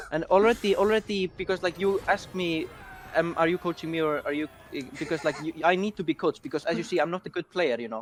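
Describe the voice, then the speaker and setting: A man's high-pitched voice at a very fast clip, ordinary pitch variation, dry and close with no echo, noticeable background noise. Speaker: player being coached in a card game. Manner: fast talker.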